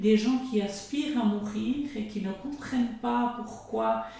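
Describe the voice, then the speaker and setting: A woman's fairly high voice with fairly even intonation at a very slow pace, amid noticeable background noise and audible room echo. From Switzerland, Jura. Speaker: pastoral worker. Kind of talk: radio interview. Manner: halting.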